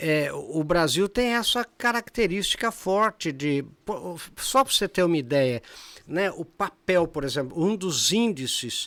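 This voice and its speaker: A man's high-pitched, lively voice at a fairly slow pace, dry and close with no echo, in a very clean recording over a silent background. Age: 70s. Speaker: professor and speaker. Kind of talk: podcast interview. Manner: animated, with many fillers and restarts.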